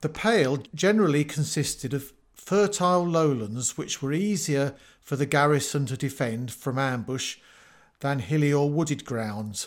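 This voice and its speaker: Speaking with an English accent, a man uses a fairly high pitch and lively intonation at a moderate pace, on a very clean recording with a silent background. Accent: obvious English. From England. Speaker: podcast host, retired teacher. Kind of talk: scripted narration.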